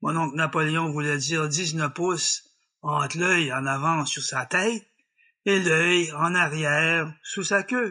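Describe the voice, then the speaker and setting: Speaking at a very slow pace over a quiet background, a man with a French Canadian accent has a bright, sharp tone, a fairly high pitch and ordinary pitch variation. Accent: rural French Canadian patois. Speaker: storyteller. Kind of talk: folk tale storytelling. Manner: humorous, folksy.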